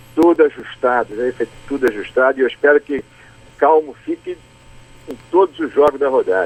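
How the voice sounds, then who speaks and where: The speech moves at a moderate pace with long, frequent pauses and ordinary pitch variation, captured with a dry, close sound and no echo. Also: man, fairly high pitch for a man. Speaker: state football federation president. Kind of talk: radio interview answer by phone. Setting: phone line.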